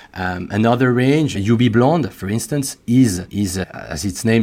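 Speaking slowly-ish in a French accent, a man with a medium pitch uses lively intonation. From France. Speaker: beauty company executive. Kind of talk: interview, business talk. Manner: slightly halting, repeats words.

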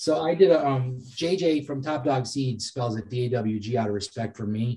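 This man has a dark, mellow, somewhat breathy tone at a medium pitch, speaking with an American accent and ordinary pitch variation. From Massachusetts. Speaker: cannabis breeder and cultivator. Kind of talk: casual interview.

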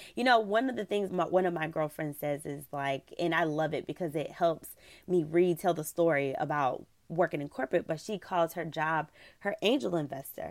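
A woman with an unremarkable speaking voice and fairly low pitch speaks at a moderate pace on a very clean recording with a silent background. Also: ordinary pitch variation. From US South. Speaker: travel blogger. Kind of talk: interview.

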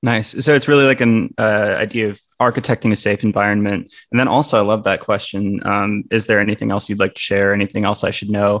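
A man speaks fairly quickly in a plain, everyday voice with an American accent, his pitch fairly low and his intonation fairly even. He hardly pauses at all. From Wisconsin. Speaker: podcast host. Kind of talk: podcast interview.

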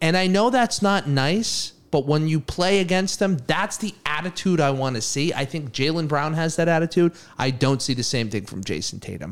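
A man speaks with an American accent at a moderate pace. He has an unremarkable speaking voice with lively intonation. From Massachusetts. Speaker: podcast co-host. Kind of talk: casual chat.

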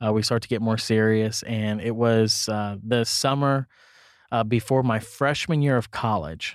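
A man has a normal speaking voice with medium pitch and fairly even intonation. His loudness stays very even at a fairly slow pace, in a very clean recording with a silent background. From Kansas City area, US Midwest. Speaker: pastor. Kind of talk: casual chat.

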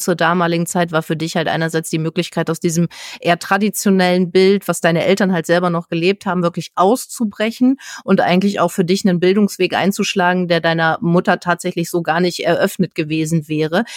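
A woman with a normal speaking voice and a fairly low pitch talks at a fairly quick pace with hardly any pauses, fairly even intonation and very even loudness, in a dry, close sound with no echo. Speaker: podcast host. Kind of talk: interview.

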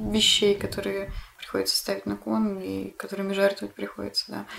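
A woman talks at a fairly quick pace, stopping for long, frequent pauses. Noticeable background noise runs under her voice. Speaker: podcast host. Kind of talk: casual chat. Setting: at home. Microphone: poorer backup recording, quieter than guest.

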